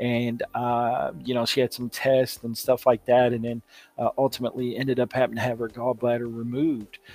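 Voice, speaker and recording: Music plays behind a man speaking in a monotone, flat intonation at medium pitch and a moderate pace, the sound dry and close with no echo. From Kentucky, Louisville. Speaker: podcast host, kidney transplant recipient. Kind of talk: casual video talk to viewers. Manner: casual with many fillers (uh, you know).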